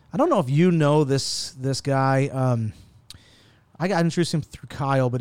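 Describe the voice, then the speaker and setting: A man's unremarkable speaking voice at a medium pitch, with ordinary pitch variation and a fairly quick pace, on a very clean recording with a silent background. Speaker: tech podcast host. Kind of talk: casual chat. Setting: office boardroom. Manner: casual, profane.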